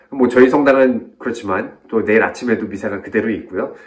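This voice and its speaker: Audible room echo hangs around the speech. The intonation is fairly even. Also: man. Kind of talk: reflective video talk. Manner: fast; clear pronunciation.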